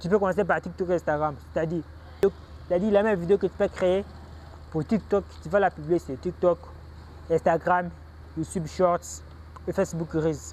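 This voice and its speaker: Long pauses come often. Between them, the pace is moderate. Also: man. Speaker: online business YouTuber. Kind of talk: tutorial. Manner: halting.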